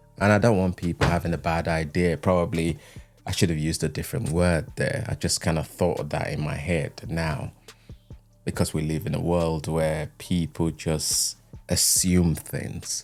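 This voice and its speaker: This man has a very deep, low pitch and ordinary pitch variation. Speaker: YouTube creator. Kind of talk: talking-head video essay. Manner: slow.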